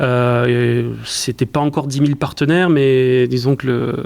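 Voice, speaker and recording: A monotone, flat voice in a southwestern French accent over noticeable background noise. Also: man. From southwestern France, southern Landes. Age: 30s. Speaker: e-commerce executive. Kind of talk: interview. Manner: hesitant, many repetitions.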